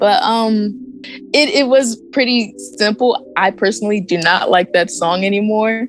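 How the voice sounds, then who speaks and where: Music plays in the background as a woman speaks at a fairly high pitch with lively intonation. Her pace is fairly slow and her loudness very even. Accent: American. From US, Maryland. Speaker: pop R&B singer. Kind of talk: interview.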